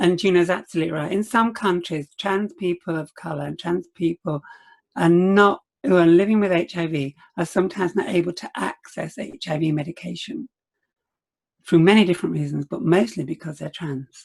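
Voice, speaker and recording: A woman with a fairly low pitch and vocal fry talks fairly quickly, with ordinary pitch variation, big swings in loudness, and a dry, close sound with no echo. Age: 70s. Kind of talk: panel discussion. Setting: webinar video call.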